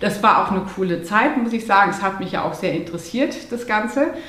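A woman speaks at a moderate pace with a fairly high pitch. Audible room echo and noticeable background noise surround her voice. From Munich area, Bavaria. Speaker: holistic lifestyle coach. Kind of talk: interview.

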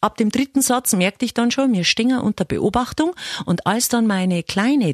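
A somewhat breathy woman's voice with a Bavarian accent, dry and close with no echo. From Upper Palatinate, eastern Bavaria. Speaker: radio host. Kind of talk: comedic monologue.

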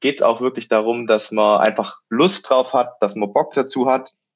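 Here is a man with an unremarkable speaking voice at a medium pitch. His pitch variation is ordinary. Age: 20s. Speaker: student and triathlete. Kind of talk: interview.

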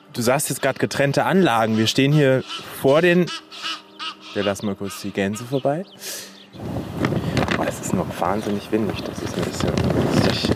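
With noticeable background noise, a man talks at a moderate pace with lively intonation and long, frequent pauses. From Germany, Hannover. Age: 30s. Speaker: podcast host. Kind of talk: casual chat. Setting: outdoors at a zoo.

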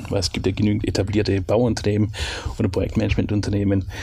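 Over noticeable background noise, a man with a fairly low pitch speaks at a very fast pace. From Swabia, southwest Germany. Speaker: company co-founder. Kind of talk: interview.

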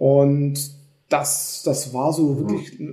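A man speaks in a somewhat breathy, dark, mellow tone, with audible room echo around him. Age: 40s. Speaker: company executive. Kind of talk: casual chat.

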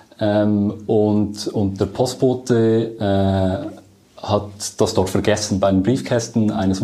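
A man speaks with a fairly low pitch and a dark, mellow tone, his intonation fairly even. Audible room echo is heard around him. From Switzerland, Lucerne. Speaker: project manager. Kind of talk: interview.

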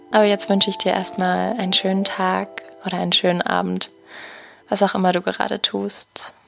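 Over music in the background, a woman speaks in a gentle tone at a moderate pace. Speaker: podcast host and meditation guide. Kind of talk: guided meditation. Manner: gentle, soft-spoken, with long pauses.

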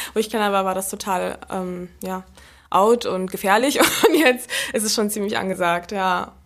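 A woman talks at a medium pitch, her pitch varying in an ordinary way, in a very clean recording where the background is silent. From Berlin. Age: 20s. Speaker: sprinter. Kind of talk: interview. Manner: fast.

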